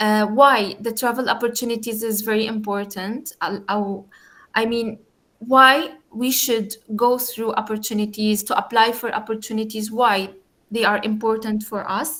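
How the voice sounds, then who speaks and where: A woman's fairly high voice has a bright, sharp tone. She delivers it in a monotone, flat intonation. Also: moderate pace. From Jordan. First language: Arabic. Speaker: youth community founder and guest speaker. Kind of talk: online talk. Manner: halting, with frequent fillers.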